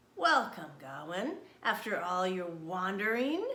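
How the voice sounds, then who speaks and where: A put-on character voice growls with lively intonation at a fairly slow pace. An echo is audible. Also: woman, medium pitch for a woman. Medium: read story. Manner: roaring, fierce.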